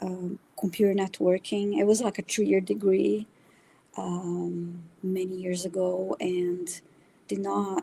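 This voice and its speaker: A woman speaks with a Brazilian accent. Her pace is very slow. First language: Brazilian Portuguese. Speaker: spiritual reader. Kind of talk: interview conversation. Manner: halting, many fillers.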